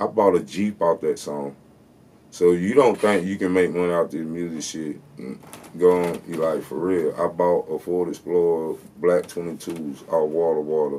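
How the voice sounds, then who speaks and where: A man speaks at a fairly slow pace with a very deep, low pitch. His tone is dark and mellow, his intonation fairly even. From US South, South Carolina. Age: 30s. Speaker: rapper. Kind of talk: storytelling interview, casual. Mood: relaxed, storytelling, boastful. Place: studio.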